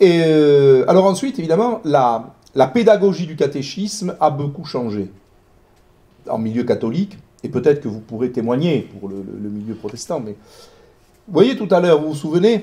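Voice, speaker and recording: Speaking at a moderate pace with long, frequent pauses, a man with a fairly high pitch and a dark, mellow tone makes very wide pitch swings and big swings in loudness. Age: 60s. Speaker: historian. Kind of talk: lecture. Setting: talk with live audience. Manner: hesitant, many fillers.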